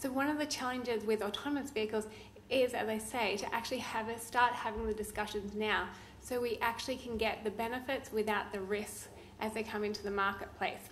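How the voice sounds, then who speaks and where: A woman with a fairly high voice speaks in an Australian accent, her intonation fairly even. Some room echo can be heard. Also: fairly quick pace. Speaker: law professor. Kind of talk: conference talk.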